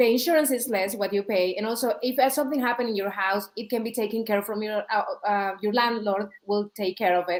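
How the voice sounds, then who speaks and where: In a strong non-native accent, a woman with a fairly high voice speaks at a fairly quick pace, with ordinary pitch variation and hardly any pauses. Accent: thick foreign. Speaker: real estate agent. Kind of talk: casual chat. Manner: halting.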